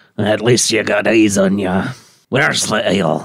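A man's put-on character voice, raspy and fairly low in pitch, at a moderate pace. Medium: actual play. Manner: gruff, sardonic.

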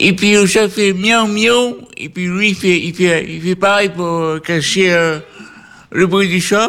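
Very slow and fairly even in intonation, a man speaks at a high pitch with a bright, sharp tone. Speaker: care home resident co-host. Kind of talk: casual chat; storytelling. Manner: stutter; halting.

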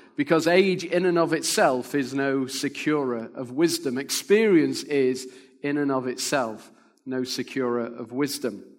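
Audible room echo surrounds a man's voice. He speaks at a fairly high pitch and a fairly slow pace. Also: ordinary pitch variation. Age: 50s. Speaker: pastor and church planter. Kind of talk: sermon.

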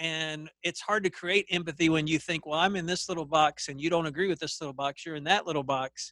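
Fairly high in pitch, a man talks at a fairly quick pace with ordinary pitch variation. The sound is dry and close, with no echo. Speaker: podcast host. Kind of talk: casual interview chat. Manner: hesitant, uses fillers.

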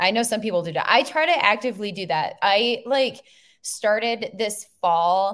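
A plain, everyday voice from a woman with an American accent, fairly high in pitch, with ordinary pitch variation at a moderate pace. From Minnesota. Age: 30s. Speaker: photographer and podcast host. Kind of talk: casual chat.

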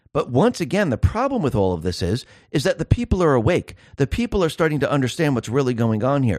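A man talks at a fairly quick pace in a fairly high pitch with very wide pitch swings and vocal fry, the sound dry and close with no echo over a quiet background. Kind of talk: angry political rant. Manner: fiery, insistent, hammering points with repetition.

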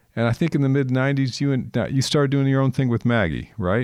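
A plain, everyday voice with an American accent, ordinary pitch variation and a moderate pace. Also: man. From California, Napa Valley. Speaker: podcast host and vintner. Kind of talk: casual interview.

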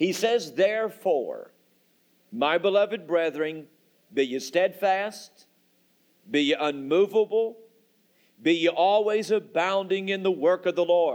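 This voice belongs to a man. His pace is fairly slow. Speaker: pastor. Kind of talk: sermon. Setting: church.

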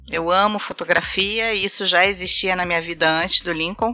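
In a Carioca accent, the speaker uses a bright, sharp tone and ordinary pitch variation in a very clean recording with a silent background. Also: woman. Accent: carioca Brazilian Portuguese. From Rio de Janeiro, Brazil. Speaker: travel blogger. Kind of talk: casual interview chat.

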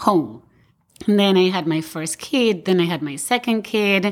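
A woman with an Argentine accent at a fairly slow pace and ordinary pitch variation, in a very clean recording with a silent background. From Argentina. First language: Spanish. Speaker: architect and firm owner. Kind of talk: roundtable discussion.

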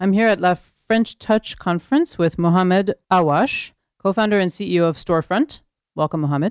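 On a very clean recording with a silent background and a dry, close sound with no echo, a woman uses a normal speaking voice at medium pitch, with ordinary pitch variation and a fairly quick pace. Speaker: podcast host. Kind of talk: interview and narration.

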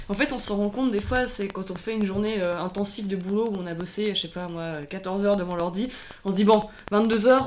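Someone speaks at a fairly quick pace with noticeable background noise. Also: woman. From Switzerland, Lausanne region (Vaud). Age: 30s. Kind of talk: casual interview. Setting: recorded over a few beers.

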